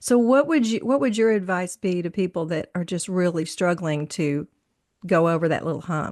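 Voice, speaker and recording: In a normal speaking voice, a woman with fairly low pitch talks at a moderate pace with lively intonation, and the background is quiet. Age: 60s. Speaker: podcast host. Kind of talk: casual chat.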